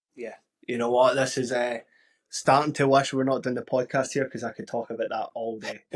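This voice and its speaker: Speaking at a fairly quick pace, a man with a Glaswegian accent keeps a monotone, flat intonation. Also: medium pitch for a man. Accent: Glaswegian Scottish. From Scotland, Glasgow. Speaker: podcast host. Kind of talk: casual interview chat.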